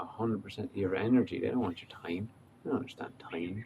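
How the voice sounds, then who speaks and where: A man's relaxed, fairly low voice in an Irish accent, with ordinary pitch variation. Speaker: life coach. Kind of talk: casual talk to camera. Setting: outdoors. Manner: relaxed, hesitant.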